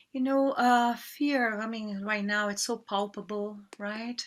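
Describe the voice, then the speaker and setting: A woman speaks very slowly in a fairly high voice with a Portuguese accent. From Brazil. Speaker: yoga teacher. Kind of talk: interview. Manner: halting.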